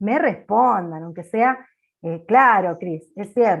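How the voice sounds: A woman speaks loudly and slowly at a medium pitch, with lively intonation. Vocal fry and a slightly husky edge run through her voice.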